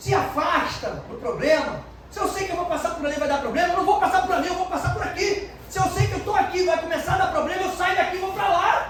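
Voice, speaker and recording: Loud and extremely high-pitched, a man talks at a fairly quick pace with fairly even intonation, amid audible room echo and noticeable background noise. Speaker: pastor. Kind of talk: sermon.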